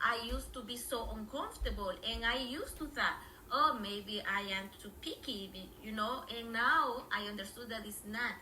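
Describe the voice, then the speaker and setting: With a Spanish accent, a woman speaks at a fairly high pitch and a moderate pace. Noticeable background noise and audible room echo fill the recording. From Honduras. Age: 50s. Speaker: language teacher. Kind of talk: interview. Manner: halting, many fillers.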